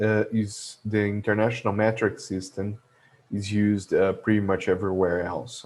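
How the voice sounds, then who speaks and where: In a Portuguese accent, a man speaks at a moderate pace and fairly low pitch. His intonation is monotone and flat, and the background is quiet. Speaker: logistics educator. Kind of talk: tutorial. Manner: halting, many fillers.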